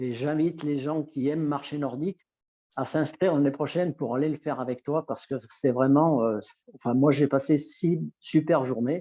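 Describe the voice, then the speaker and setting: The speaker's dark, mellow tone sounds dry and close with no echo, moving at a moderate pace with fairly even intonation against a quiet background. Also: man, fairly high pitch for a man. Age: 60s. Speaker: nordic walking instructor. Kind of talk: interview. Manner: halting.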